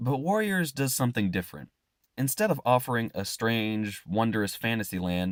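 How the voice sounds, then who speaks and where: A man speaks in a fairly low pitch at a moderate pace. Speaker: book fan video creator. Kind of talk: video essay narration.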